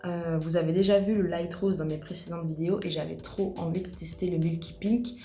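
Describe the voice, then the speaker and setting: A soft-spoken woman talks with hardly any pauses, her fairly low voice dark and mellow with vocal fry. Her intonation is fairly even, and there is audible room echo. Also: moderate pace. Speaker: nail technician. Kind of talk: tutorial. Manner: casual.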